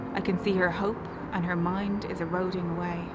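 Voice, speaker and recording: Music can be heard in the background. Over it, a woman talks. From Ireland. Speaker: spoken word poet. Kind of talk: spoken word poetry performance.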